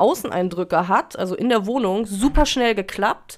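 A woman talks fairly slowly, her fairly high voice showing ordinary pitch variation. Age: 30s. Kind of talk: casual chat.

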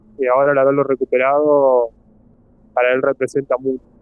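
Monotone and flat in intonation, a man speaks at a moderate pace and a medium pitch. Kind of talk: out-of-character reflection in role-play session. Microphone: phone microphone.

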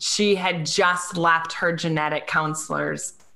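Amid noticeable background noise, a woman speaks slowly in a fairly low pitch with fairly even intonation. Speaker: blogger and author, parent of a child with Down syndrome. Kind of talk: casual interview chat.

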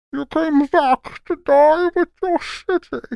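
This put-on character voice has a high pitch and a very slow pace. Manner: menacing, grave.

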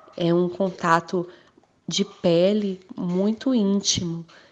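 The speaker is a woman. She talks with fairly even intonation. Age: 30s. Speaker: teacher and mother. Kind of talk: interview testimony. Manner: halting.

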